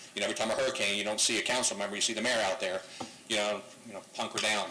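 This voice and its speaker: Ordinary pitch variation comes through over noticeable background noise and audible room echo. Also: man. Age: 60s. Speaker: public commenter at council meeting. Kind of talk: public comment. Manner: halting, filler-heavy.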